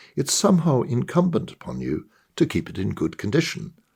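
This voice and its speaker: A man talks at a moderate pace, his voice showing vocal fry and very wide pitch swings. The recording is very clean, with a silent background. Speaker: author. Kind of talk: short story reading.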